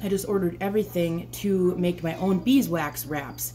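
A woman's voice keeps a moderate pace as music plays behind it. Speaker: homesteading vlogger. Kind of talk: casual vlog chat. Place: kitchen.

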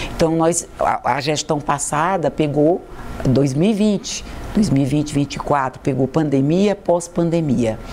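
Very slow and very even in loudness, a woman's very deep, low voice carries ordinary pitch variation over noticeable background noise. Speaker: university rector. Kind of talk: TV interview.

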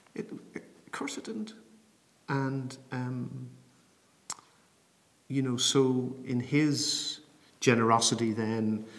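With long, frequent pauses, a man talks at a very slow pace and with ordinary pitch variation. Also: medium pitch for a man. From Bray, County Wicklow, Ireland. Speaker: programme manager for public theology. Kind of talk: interview answer. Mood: calm, thoughtful, personal. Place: home room.

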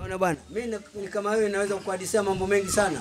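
A man talks at a very fast pace in a high pitch. Noticeable background noise is present. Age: 80s+. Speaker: football fan. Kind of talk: casual chat. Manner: animated. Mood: lively storytelling. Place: home room. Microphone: handheld.

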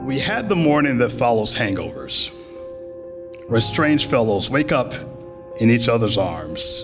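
A man at a fairly slow pace with long, frequent pauses, over clear music in the background. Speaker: poet. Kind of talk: poetry reading. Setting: theater stage. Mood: calm, reflective. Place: hall. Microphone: podium.

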